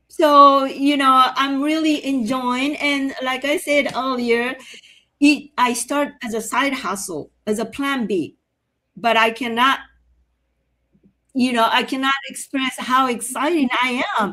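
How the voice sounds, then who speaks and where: A woman uses a raised, projected voice with a high pitch and a bright, sharp tone. She speaks at a very slow pace with fairly even intonation. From Japan. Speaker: online business owner, former nail salon owner. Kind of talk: personal testimony in live stream. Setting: online live stream.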